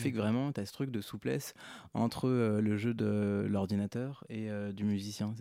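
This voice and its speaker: Heard in a very clean recording with a silent background, a man with a dark, mellow tone speaks at a fairly low pitch with fairly even intonation. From France, Hautes-Alpes. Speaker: composer. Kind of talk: radio interview. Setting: radio studio.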